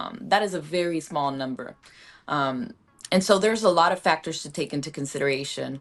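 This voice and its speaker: A woman with a Puerto Rican accent at a very deep, low pitch, fairly quick pace and lively intonation, with big swings in loudness. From Puerto Rico. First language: Spanish. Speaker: actress. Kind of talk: panel discussion.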